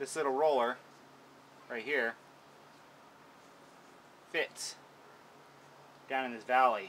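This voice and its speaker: Over light background noise, a man talks in a bright, sharp tone. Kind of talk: tutorial. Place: garden. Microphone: phone near.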